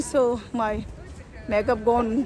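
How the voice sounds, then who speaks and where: A woman speaks with a Tibetan accent in a room with audible echo, crowd noise behind her. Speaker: vlogger. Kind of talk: casual vlog chat. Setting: outdoors, walking to Christmas market. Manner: halting, many fillers.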